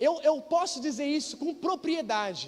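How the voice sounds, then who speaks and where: The speaker has an animated tone and keeps to a fairly slow pace. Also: man. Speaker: pastor. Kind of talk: sermon.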